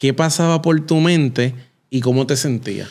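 A man with an ordinary speaking voice, fairly even intonation and a moderate pace. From Puerto Rico. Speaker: podcast host. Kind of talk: interview. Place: studio. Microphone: studio mic.

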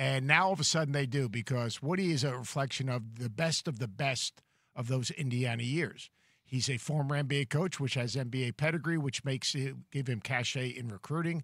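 Recorded dry with no echo and a quiet background, the voice keeps a moderate pace with ordinary pitch variation. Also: man, medium pitch for a man. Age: 60s. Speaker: college basketball analyst. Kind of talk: sports talk show discussion. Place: studio. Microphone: studio mic.

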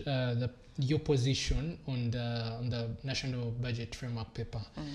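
A somewhat breathy male voice at a moderate pace. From Uganda. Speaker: TV host. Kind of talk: TV studio discussion. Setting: TV studio. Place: studio. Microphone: lapel.

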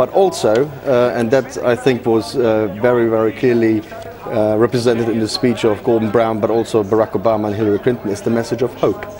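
A man of medium pitch talks at a fairly quick pace over crowd noise in the background. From Germany. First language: German. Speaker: policy analyst. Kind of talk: TV news interview. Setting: studio.

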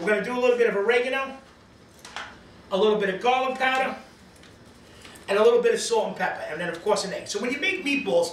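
A man's extremely high-pitched voice at a very fast pace, ordinary pitch variation, audible room echo and light background noise. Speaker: home cooking show host. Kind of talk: cooking show tutorial. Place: kitchen. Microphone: camera far.

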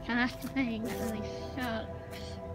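A woman is talking. Clear music plays in the background. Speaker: vlogger exploring abandoned building. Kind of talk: casual vlog chat. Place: street. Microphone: phone near.

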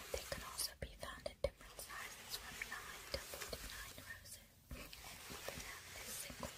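Whispering at a moderate pace, a woman speaks with hardly any pauses. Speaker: ASMR artist. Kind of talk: ASMR product review. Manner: whispered. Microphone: studio mic.

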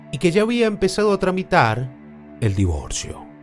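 A man's fairly slow speech with very wide pitch swings, with music in the background. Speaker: podcast narrator / locutor. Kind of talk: true-crime podcast narration.

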